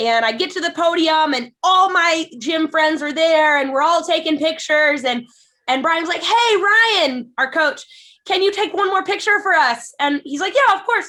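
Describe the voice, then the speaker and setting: A woman speaks at a moderate pace in an extremely high, bright, sharp voice that is raised and projected. Her intonation is lively, and the recording is very clean with a silent background. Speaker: eating disorder nonprofit founder and jiu-jitsu athlete. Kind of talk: podcast conversation.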